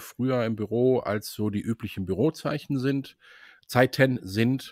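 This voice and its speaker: A man with an unremarkable speaking voice talks at a medium pitch with ordinary variation, in a very clean recording with a silent background and a dry, close sound with no echo. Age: 60s. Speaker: sales employee. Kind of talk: casual interview.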